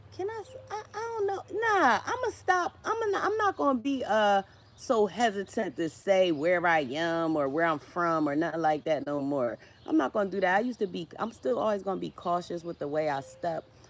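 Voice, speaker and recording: An American accent at a moderate pace, over noticeable background noise. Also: woman. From Philadelphia, US. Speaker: social media creator, writer. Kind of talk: livestream casual chat. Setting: live stream, tree in background. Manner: halting, repetitive.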